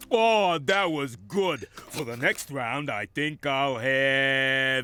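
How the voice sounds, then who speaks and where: A cartoonish character voice moves at a very slow pace with lively intonation. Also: man, medium pitch for a man. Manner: hungry, gleeful.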